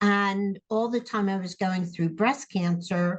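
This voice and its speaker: A somewhat breathy woman at a very slow pace, her intonation fairly even. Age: 70s. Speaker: interviewee, therapy client. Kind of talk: interview testimony.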